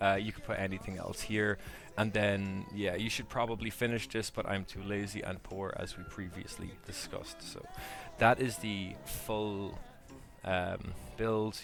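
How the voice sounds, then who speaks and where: Over music in the background, a man talks at a fairly slow pace with monotone, flat intonation. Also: fairly low pitch for a man. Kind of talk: game tutorial voiceover. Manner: casual, hesitant.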